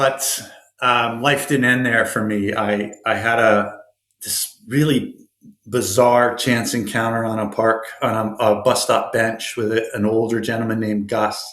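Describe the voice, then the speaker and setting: A man with a Canadian accent at a medium pitch, monotone and flat, speaking at a fairly slow pace amid audible room echo. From Canada, rural Ontario. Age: 50s. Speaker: motivational speaker, former homeless addict. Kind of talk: interview, personal story.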